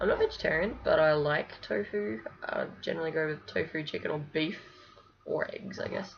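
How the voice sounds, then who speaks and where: Noticeable background noise sits under a woman talking at a moderate speed. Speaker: vlogger documenting gender transition. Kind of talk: casual video diary. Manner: mumbling; hesitant, many fillers.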